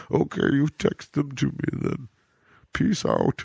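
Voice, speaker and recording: A man performs a put-on character voice at a medium pitch and a moderate pace. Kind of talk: comic impression of a film villain. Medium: game stream. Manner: grandiose, menacing, theatrically solemn.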